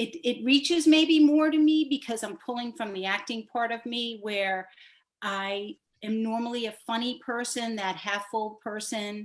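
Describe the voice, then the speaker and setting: A woman with an American accent talks at a moderate pace in a fairly high pitch. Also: ordinary pitch variation. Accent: Boston accent, can drop it. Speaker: actor. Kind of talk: panel discussion.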